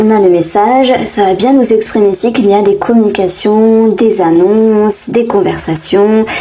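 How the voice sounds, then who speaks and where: With fairly even intonation, a woman speaks amid audible room echo. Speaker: tarot reader. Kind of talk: tarot reading. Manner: hesitant, many fillers.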